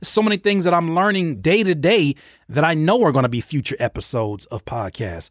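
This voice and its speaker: An energetic tone drives a very fast pace with very wide pitch swings. The sound is dry and close, with no echo. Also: man, fairly high pitch for a man, very clean recording, silent background. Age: 30s. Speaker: podcast host and music producer. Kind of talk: solo podcast monologue. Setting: home studio on video. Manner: frequent stammered repetitions.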